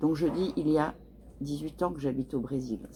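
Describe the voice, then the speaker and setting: Here a woman is talking. Her delivery is fairly slow. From France. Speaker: French teacher. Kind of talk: tutorial.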